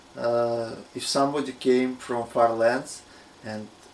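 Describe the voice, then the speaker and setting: A man with a Russian accent speaks very slowly in a monotone with flat intonation. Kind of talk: casual talk to camera.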